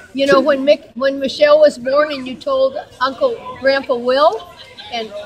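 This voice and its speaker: A woman speaks at a moderate pace in a high pitch, with big swings in loudness. Noticeable background noise runs underneath. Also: ordinary pitch variation. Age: 70s. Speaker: family member. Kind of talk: casual speech at family gathering.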